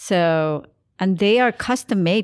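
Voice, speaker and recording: Here a woman with an unremarkable speaking voice talks at a medium pitch with lively intonation, on a very clean recording with a silent background. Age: 50s. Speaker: podcast co-host. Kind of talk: casual chat.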